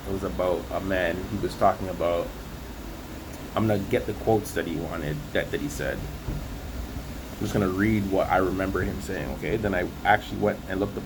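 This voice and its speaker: Amid noticeable background noise and audible room echo, a man with a very deep, low voice speaks at a moderate pace with lively intonation. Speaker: religious vlogger. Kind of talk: casual religious monologue. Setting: outdoors on hotel balcony. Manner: casual, slangy; held back, not projecting.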